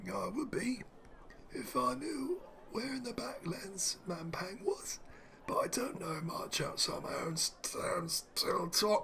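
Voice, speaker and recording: A man speaks in a put-on character voice, gravelly and raspy, pitched extremely high. He talks at a fairly slow pace over light background noise. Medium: solo performance. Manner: sly, rustic.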